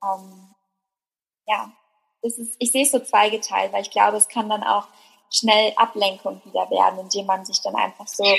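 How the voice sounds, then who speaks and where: A woman talks at a moderate pace with fairly even intonation. Her voice is somewhat breathy. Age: 20s. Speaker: blogger and workshop leader. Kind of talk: casual chat.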